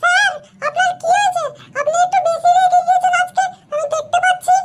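In a cartoonish character voice, a woman speaks at an extremely high pitch with lively intonation and a moderate pace. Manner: gentle, friendly.

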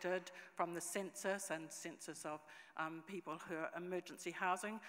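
Against a quiet background, a woman with a New Zealand accent speaks fairly quickly at a fairly low pitch in a monotone, flat intonation. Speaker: conference presenter. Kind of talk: conference presentation. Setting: conference stage with audience. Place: hall. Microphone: podium.

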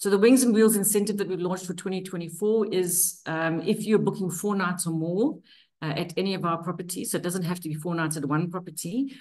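A woman's unremarkable speaking voice, fairly low in pitch with ordinary pitch variation, at moderate pace against a quiet background. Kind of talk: webinar presentation. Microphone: video call.

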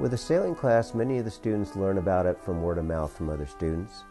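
Faint music plays in the background beneath a voice with ordinary pitch variation. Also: man. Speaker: sailing class instructor. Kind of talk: interview answer. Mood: relaxed, friendly. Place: office. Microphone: lapel.

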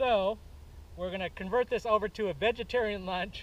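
The sound is dry with no echo as a man speaks at a high pitch and a moderate pace. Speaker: outdoor vlogger. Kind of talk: casual vlog chat. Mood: relaxed, laughing. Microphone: camera far.

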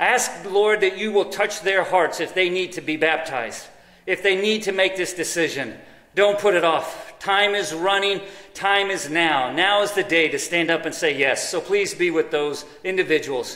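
A man with an American accent uses a raised, projected voice at a high pitch with ordinary pitch variation, and there is audible room echo. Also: moderate pace. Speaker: pastor. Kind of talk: sermon; prayer. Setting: church. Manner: animated. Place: church.

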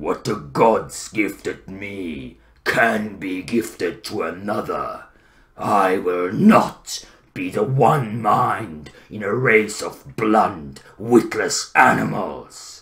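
Using a put-on character voice, a man sounds raspy and fairly low-pitched. His pace is very slow. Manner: slow, menacing.

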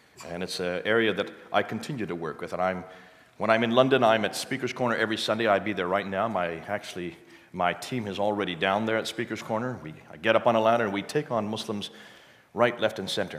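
A man talks at a very fast pace. His voice sits fairly low, with ordinary pitch variation. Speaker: missionary and expert on Islam. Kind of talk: church talk with slides. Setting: church with live audience. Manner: fast talker.

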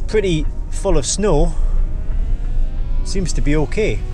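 A man is heard in a dry sound with no echo as clear music plays in the background. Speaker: car vlogger. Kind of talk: casual vlog chat. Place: car. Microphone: camera far.

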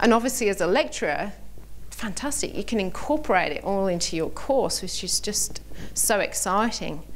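Over light background noise, a woman with a British accent speaks at a moderate pace. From Britain. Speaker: vocational lecturer. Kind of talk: conference workshop presentation. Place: hall. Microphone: podium.

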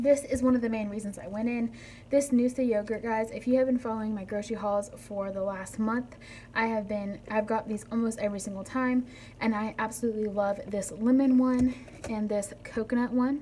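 A somewhat breathy woman speaks at a fairly quick pace with fairly even intonation. Light background noise can be heard. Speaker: haul vlogger. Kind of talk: casual vlog chat. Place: kitchen. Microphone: phone near.

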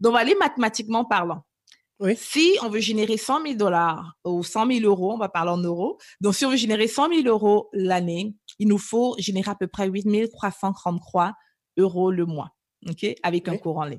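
In a normal speaking voice, a woman talks at medium pitch and moderate pace with lively intonation over a quiet background. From Cameroon, moved to Canada at 11. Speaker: business coach. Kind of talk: interview.

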